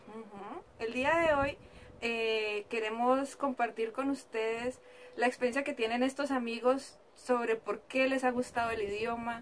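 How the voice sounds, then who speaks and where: Her voice is high-pitched. This woman talks fairly slowly. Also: fairly even intonation. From Latin America. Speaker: YouTuber. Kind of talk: video presentation.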